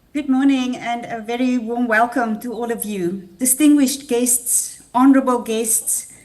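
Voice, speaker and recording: A woman's high-pitched voice with fairly even intonation at a moderate pace, over noticeable background noise. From South Africa. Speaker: international research programme head. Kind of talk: welcome speech. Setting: video call.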